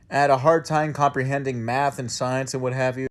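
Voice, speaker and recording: Fairly high pitch for a man, a fairly quick pace, and an unremarkable speaking voice. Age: 20s. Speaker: tiktok creator. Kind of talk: casual storytime.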